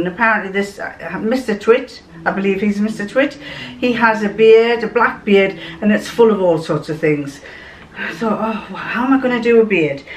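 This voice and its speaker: Noticeable background noise sits behind a woman at a moderate pace. Her pitch is medium, with ordinary variation. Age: old. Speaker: home sewist. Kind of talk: casual story told to camera.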